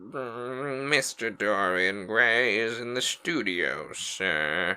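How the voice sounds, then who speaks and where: Putting on a character voice, a man speaks at a very slow pace with a medium pitch and lively intonation. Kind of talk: formal, servile. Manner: announcing.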